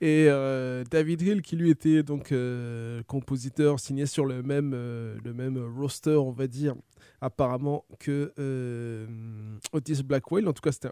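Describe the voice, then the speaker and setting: On a very clean recording with a silent background, a man speaks in a dark, mellow tone with fairly even intonation. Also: medium pitch for a man, moderate pace. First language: French. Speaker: radio host. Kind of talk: radio music show presenting. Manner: hesitant with filler words.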